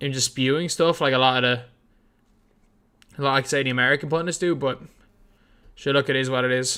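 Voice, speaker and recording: A man with an Irish accent speaks very fast at a fairly high pitch in a bright, sharp tone, yet takes long, frequent pauses. The recording is very clean with a silent background. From Ireland, Dublin. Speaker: basketball YouTuber streaming a game watch-along. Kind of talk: live stream watch-along commentary and chat. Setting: live stream. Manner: casual, halting with many repeats.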